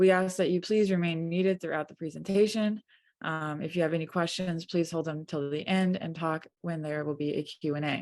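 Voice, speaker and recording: Soft-spoken, a woman talks at a moderate pace with a fairly low pitch and fairly even intonation over a quiet background. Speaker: print studio technician, webinar moderator. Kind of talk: webinar introduction. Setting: video call webinar.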